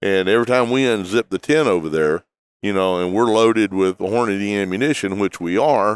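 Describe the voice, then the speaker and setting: Speaking with a Texan accent, a man uses a fairly low pitch and ordinary pitch variation at a fairly quick pace, in a dry, close sound with no echo and a very clean recording with a silent background. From Texas. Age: 60s. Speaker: hunting outfitter and TV host. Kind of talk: interview. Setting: trade show convention.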